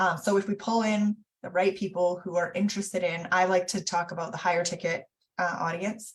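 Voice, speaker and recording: A woman's medium-pitched, somewhat breathy voice, fairly quick and monotone, with flat intonation. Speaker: business coach. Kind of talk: online teaching session. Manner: fast.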